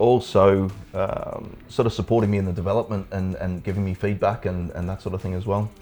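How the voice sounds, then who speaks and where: With music in the background, a man speaks at a moderate pace in an Australian accent, his pitch fairly low. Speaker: brewery owner and brewer. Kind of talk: casual interview.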